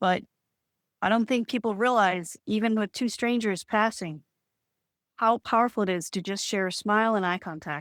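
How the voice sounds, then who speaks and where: Speaking in a plain, everyday voice with an American accent, a woman talks at a moderate pace and a fairly high pitch with ordinary pitch variation, in a dry, close sound with no echo on a very clean recording with a silent background. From Boston area, Massachusetts. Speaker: spiritual healer. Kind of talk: podcast interview.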